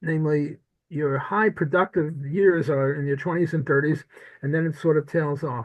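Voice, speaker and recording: A somewhat breathy man speaks with an American accent at a fairly high pitch. His pace is moderate and his intonation fairly even. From US Northeast (Brooklyn, New York). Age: 80s+. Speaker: economics professor. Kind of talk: interview conversation.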